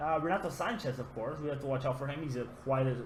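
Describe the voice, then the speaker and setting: Fairly quick speech with vocal fry, a non-native accent, ordinary pitch variation and audible room echo. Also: man. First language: not English. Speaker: gaming YouTuber. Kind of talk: gameplay commentary. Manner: casual, hesitant with fillers.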